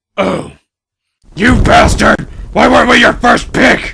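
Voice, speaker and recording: In a raspy put-on character voice, the speaker goes at a fairly slow pace. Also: man. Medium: audio drama. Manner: sarcastic, profane, irritable.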